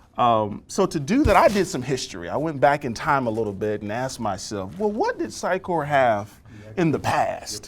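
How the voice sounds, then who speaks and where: There is noticeable background noise as a man speaks. His fairly high voice makes very wide pitch swings. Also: moderate pace. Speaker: software architect presenting at user group. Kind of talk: tech presentation and demo. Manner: hesitant, many ums.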